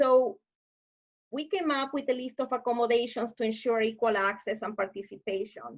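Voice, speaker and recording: Against a quiet background, a woman with a Spanish accent speaks at a moderate pace in a high voice with ordinary pitch variation. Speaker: webinar presenter on deafblind services. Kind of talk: online presentation. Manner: hesitant with filler sounds.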